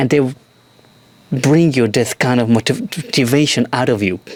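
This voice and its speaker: A man speaks with ordinary pitch variation. There is noticeable background noise behind him. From Europe. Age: 40s. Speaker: actor. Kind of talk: casual talk to camera. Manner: stream of consciousness, candid.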